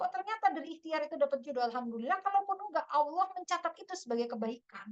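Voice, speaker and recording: Speaking at a very fast pace with an extremely high pitch and very wide pitch swings, a woman talks in a West Javanese accent. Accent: Sundanese. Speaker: Islamic preacher. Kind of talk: religious study talk. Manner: casual, conversational.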